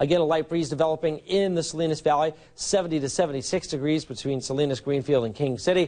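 A man with an American accent, fairly high pitch, ordinary pitch variation and a fairly quick pace, over a quiet background. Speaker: TV meteorologist. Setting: TV studio. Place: studio. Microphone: lapel.

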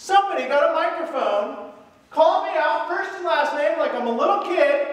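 With lively intonation, a man speaks at an extremely high pitch amid strong room echo. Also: moderate pace.

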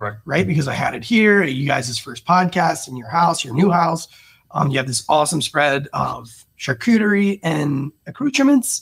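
Against a quiet background, a man talks at a moderate pace with very wide pitch swings and big swings in loudness. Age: 40s. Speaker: sommelier and podcast host. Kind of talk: casual chat. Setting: studio. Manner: animated. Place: home room. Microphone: studio mic.

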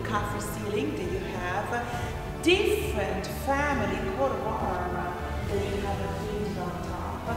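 A woman talks at a moderate pace in a room with audible echo. Clear music plays behind her. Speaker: tour guide. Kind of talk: guided tour commentary. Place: hall.

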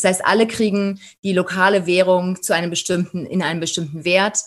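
This very clean recording with a silent background captures a woman speaking at a medium pitch. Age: 40s. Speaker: safari tour operator. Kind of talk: interview.

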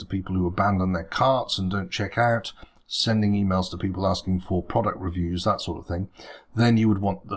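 Over a quiet background, a man talks with a fairly low pitch and fairly even intonation. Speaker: web design tutor. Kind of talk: tutorial. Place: home room.

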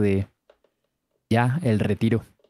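A man speaks with a dark, mellow tone. The recording is very clean and dry, close with no echo, and the background is silent. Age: 20s. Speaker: streamer reacting to videos. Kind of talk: casual chat.

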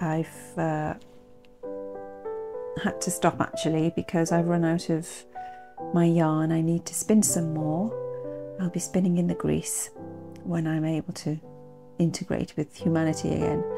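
A soft-spoken woman at a fairly slow pace, with long, frequent pauses and clear music in the background. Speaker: knitter and vlogger. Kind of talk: casual talk to camera. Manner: soft-spoken, slow. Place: home room. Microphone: phone near.

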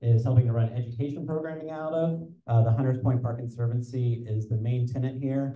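The intonation of this man's voice is fairly even. Audible room echo surrounds it. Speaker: community organization host. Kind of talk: event welcome remarks. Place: hall. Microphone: handheld.

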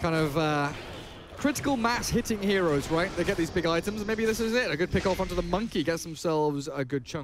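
A man talks at a fairly quick pace with a high pitch and lively intonation. His loudness stays very even while music plays in the background. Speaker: esports caster. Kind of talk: rapid-fire live esports play-by-play commentary. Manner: excitable, rising with the action of teamfights.

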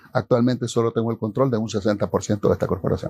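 Dark and mellow in tone, a man speaks at a fairly quick pace. His intonation stays fairly even, and the sound is dry with no echo. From Honduras. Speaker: mayor and politician; mayor, politician. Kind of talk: interview answers. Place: studio. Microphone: lapel.

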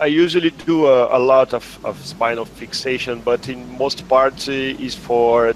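At a fairly slow pace, a man with a Portuguese accent speaks at a medium pitch with fairly even intonation and hardly any pauses. The sound is dry with no echo, over light background noise. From Brazil. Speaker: neurosurgeon; guest. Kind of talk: case discussion; interview answer. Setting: video call. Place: home room. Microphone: headset.

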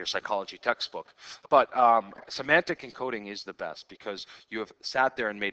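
The words are read out plainly. It is simple reading aloud.

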